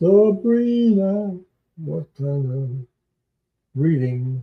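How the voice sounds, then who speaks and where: A man speaks at a very slow pace with a somewhat breathy voice. His pitch swings very widely. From Quebec. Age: old. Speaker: tarot reader livestreamer. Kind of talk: live stream chat. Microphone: echo at start.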